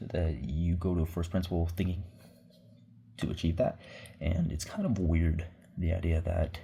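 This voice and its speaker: With a very deep, low pitch and a dark, mellow tone, a man talks at a moderate pace in a somewhat breathy voice, with fairly even intonation and long, frequent pauses. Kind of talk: casual vlog talk to camera. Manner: casual, rambling.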